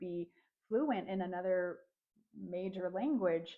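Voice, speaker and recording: At a fairly slow pace, a woman of medium pitch with a General American accent has an unremarkable speaking voice. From United States. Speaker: vlogger. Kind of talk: personal vlog monologue. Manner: casual, with frequent fillers and restarts.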